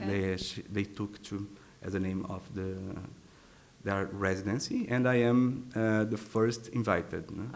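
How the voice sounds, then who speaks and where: Using fairly even intonation, a man with a Portuguese accent speaks at a fairly slow pace with long, frequent pauses. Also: fairly low pitch for a man. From Brazil. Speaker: artist and composer. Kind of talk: interview answer.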